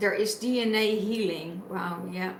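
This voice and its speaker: With a non-native accent, a woman of medium pitch speaks at a very slow pace with fairly even intonation, amid noticeable background noise and audible room echo. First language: not English. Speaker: tarot reader. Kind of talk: spiritual reading. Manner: halting.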